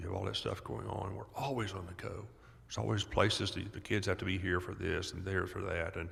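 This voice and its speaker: A man's very deep, low voice with vocal fry and ordinary pitch variation, at a fairly quick pace, in audible room echo. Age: 70s. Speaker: doctor and author on childhood trauma. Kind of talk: podcast interview. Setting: live at a conference.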